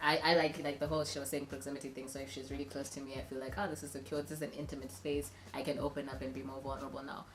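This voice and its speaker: A woman talks very fast with hardly any pauses, in a very deep, low pitch with ordinary variation. Audible room echo surrounds her voice. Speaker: relationship advice youtuber. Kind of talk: casual chat.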